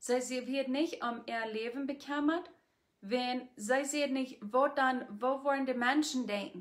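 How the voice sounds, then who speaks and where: A high-pitched woman speaks with fairly even intonation over a quiet background. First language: Plautdietsch (speaking German). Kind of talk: devotional talk to camera. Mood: calm, earnest. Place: home room. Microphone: phone near.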